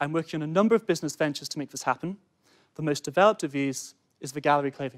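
A man at a very fast pace, with ordinary pitch variation and big swings in loudness, over a quiet background. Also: fairly high pitch for a man. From Cheshire, England; England. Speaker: student entrepreneur. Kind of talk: sales pitch. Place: studio. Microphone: lapel.

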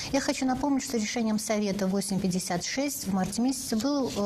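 A woman talks with ordinary pitch variation. Noticeable background noise runs under her voice. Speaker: radio host. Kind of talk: live call-in interview. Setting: studio.

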